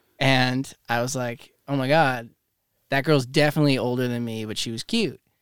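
At a moderate pace, a man talks in a normal speaking voice of medium pitch, recorded very cleanly against a silent background. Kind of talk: casual chat. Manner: excitable.

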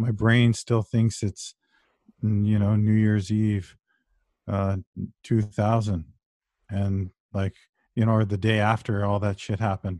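In a Canadian accent, a man with a dark, mellow tone and a fairly low pitch speaks in a monotone, flat way with long, frequent pauses, on a very clean recording with a silent background. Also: fairly slow pace, dry, close sound with no echo. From Ontario, Canada (Brampton). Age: 40s. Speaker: author and history scholar. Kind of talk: interview conversation.

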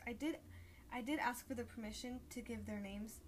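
Noticeable background noise runs under a woman's fairly high pitch. She talks at a moderate pace. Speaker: podcast host. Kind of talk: casual chat. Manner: animated, jokey.

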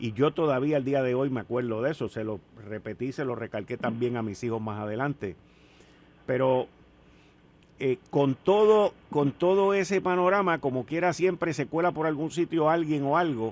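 A man with an unremarkable speaking voice talks at a moderate pace, his fairly high pitch moving in lively intonation. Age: 60s. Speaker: radio host. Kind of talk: radio talk show.

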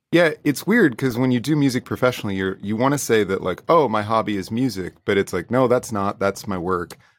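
A man with an American accent talks in a normal speaking voice at medium pitch, with lively intonation and hardly any pauses. The recording is very clean, with a silent background. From United States. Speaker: indie soul musician. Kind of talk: interview.

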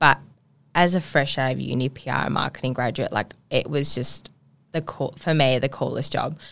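Speaking with an Australian accent, a woman with a very deep, low pitch keeps a moderate pace and fairly even intonation. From Perth, Western Australia. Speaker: PR and media business owner. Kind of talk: casual chat. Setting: studio.

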